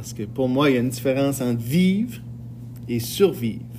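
A man talks at a medium pitch. Noticeable background noise can be heard. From northern New Brunswick, Edmundston. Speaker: high school French teacher, podcast host. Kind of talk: casual podcast monologue. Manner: hesitant, many fillers.

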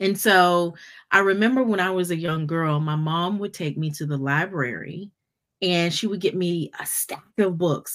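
With an unremarkable speaking voice, a woman speaks at a fairly slow pace and a fairly low pitch with ordinary pitch variation, on a very clean recording with a silent background. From North Carolina, US. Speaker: podcast host and business strategist. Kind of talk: casual interview chat.

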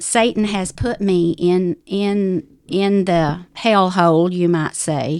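With a Southern US accent, a woman speaks at a very slow pace on a very clean recording with a silent background. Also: medium pitch for a woman, ordinary pitch variation. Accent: Southern US drawl. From US South, Ozark Mountains of North Arkansas. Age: 70s. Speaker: widow sharing life story. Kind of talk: testimony.

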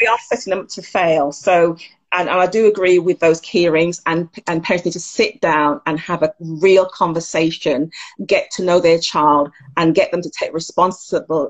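In a normal speaking voice, a woman talks with fairly even intonation. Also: fairly low pitch for a woman, moderate pace. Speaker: counsellor. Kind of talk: interview.

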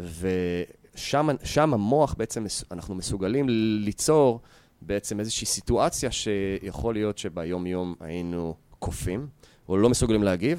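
A man speaks at a fairly slow pace, with a fairly low pitch and a dark, mellow tone. His intonation is lively, and the recording is very clean with a silent background. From Israel, Yehud. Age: 30s. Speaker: fitness entrepreneur and martial arts coach. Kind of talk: interview.

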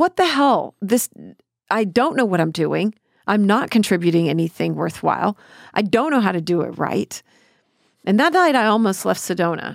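In a very clean recording with a silent background and a dry, close sound with no echo, a woman speaks at medium pitch and a moderate pace, her lively intonation marked by vocal fry and long, frequent pauses. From Texas, Killeen. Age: 50s. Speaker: podcast host and producer. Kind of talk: casual chat.

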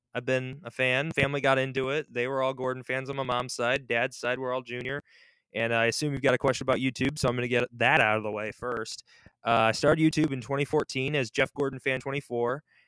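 Dry and close with no echo, a man's medium-pitched voice has a bright, sharp tone and monotone, flat intonation at a fairly quick pace. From US Midwest (Michigan), born in Russia. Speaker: podcast host. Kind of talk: casual interview. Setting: online call. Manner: fast talker.

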